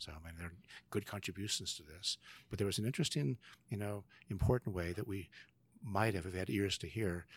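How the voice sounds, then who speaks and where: Against a silent background in a very clean recording, a man with a very deep, low, somewhat breathy voice and an American accent speaks at a fairly quick pace with ordinary pitch variation. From California, San Joaquin Valley. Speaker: professor of theology and leadership. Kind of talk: interview.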